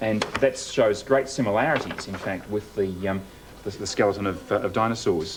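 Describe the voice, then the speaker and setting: A man with a fairly low voice is heard through noticeable background noise. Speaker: TV presenter. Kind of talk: TV science segment presentation.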